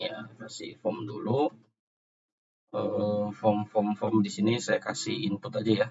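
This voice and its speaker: Music plays in the background as a man talks at a very slow pace. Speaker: programming tutor. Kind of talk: tutorial. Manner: soft-spoken; halting.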